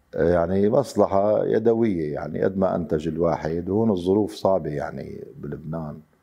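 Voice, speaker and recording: Against a quiet background, a man with a Damascus accent speaks at a moderate pace in a very deep, low voice, with ordinary pitch variation and hardly any pauses. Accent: Damascene Syrian Arabic. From Syria, Damascus. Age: 50s. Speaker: wood carver. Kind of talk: interview testimony. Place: workshop.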